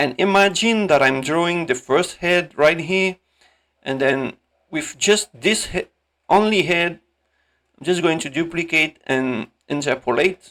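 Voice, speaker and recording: Speaking fairly slowly with a non-native accent, a man with a high pitch and a bright, sharp tone uses ordinary pitch variation and takes long, frequent pauses. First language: not English. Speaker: animator, tutorial creator. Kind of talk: tutorial. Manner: halting; casual.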